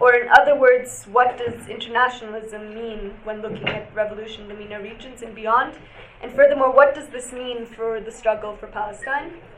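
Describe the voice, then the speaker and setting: Through noticeable background noise, a woman with a fairly high pitch talks fairly quickly, her intonation fairly even but her loudness swinging widely. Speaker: panel moderator. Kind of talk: moderating a panel. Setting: stage with audience. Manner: trying to speak louder.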